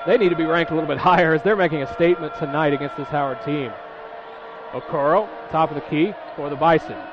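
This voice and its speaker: A man talks at a very fast pace in a fairly high voice with ordinary pitch variation. Noticeable background noise runs underneath. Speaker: play-by-play announcer. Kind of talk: live sports commentary. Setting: radio broadcast of a college basketball game. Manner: fast, rapid-fire play-by-play calling.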